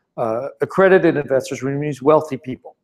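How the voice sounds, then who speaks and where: In a French accent, a man speaks at a very fast pace, his fairly high pitch showing ordinary variation. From France, Paris. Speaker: startup founder and investor. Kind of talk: presentation Q&A. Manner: halting, many repetitions.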